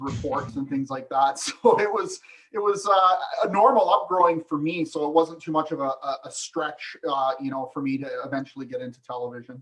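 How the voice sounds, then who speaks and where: A man with a fairly high voice, a western Canadian accent, and ordinary rise and fall in pitch. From British Columbia, Canada (Vernon). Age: 50s. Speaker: hunting TV co-host, former research biologist. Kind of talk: casual podcast interview.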